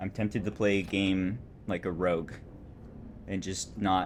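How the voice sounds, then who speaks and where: A relaxed tone with vocal fry at a fairly slow pace. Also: man. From California. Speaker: video game streamer. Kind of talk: casual live-stream chat and gameplay commentary.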